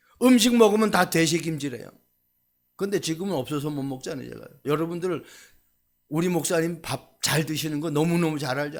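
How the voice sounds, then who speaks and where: The speech moves at a fairly quick pace but breaks into long, frequent pauses. Loudness swings widely while pitch varies in an ordinary way. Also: man, fairly high pitch for a man. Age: 60s. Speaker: pastor. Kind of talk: sermon. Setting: church.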